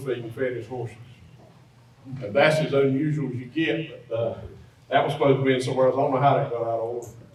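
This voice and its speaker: A man with an American accent and a fairly high pitch speaks with fairly even intonation, amid audible room echo and noticeable background noise. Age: 60s. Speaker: feed mill owner. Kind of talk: presentation to an audience. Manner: casual, conversational.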